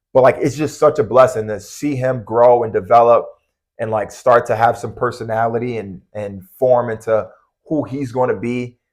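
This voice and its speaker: Against a quiet background, a man with an American accent and an unremarkable speaking voice talks at a moderate pace, medium in pitch, with fairly even intonation. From US Northeast, Long Island. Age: 30s. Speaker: college basketball coach. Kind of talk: podcast interview. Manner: casual, many fillers.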